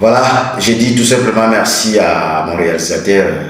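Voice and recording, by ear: Strong room echo surrounds a man speaking at a moderate pace, with low pitch and ordinary pitch variation. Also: fairly bright tone.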